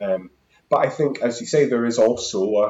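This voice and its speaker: This man speaks with a Scottish accent. His pace is moderate. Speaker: housing activist. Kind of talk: casual interview chat.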